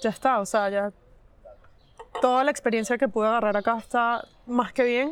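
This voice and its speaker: A woman talks in a high pitch at a moderate pace. Her pitch variation is ordinary. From Venezuela. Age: 20s. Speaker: cybersecurity professional. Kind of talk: casual chat. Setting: cafe.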